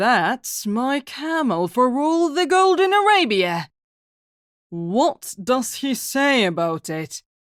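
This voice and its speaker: A put-on character voice, female-sounding and fairly high in pitch, swings very widely up and down. The pace is very slow. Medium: read story. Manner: calm, wry.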